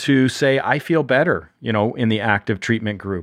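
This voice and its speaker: With an ordinary speaking voice at a medium pitch, a man talks at a moderate pace over a quiet background. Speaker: physician reviewing research papers. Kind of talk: medical podcast paper review.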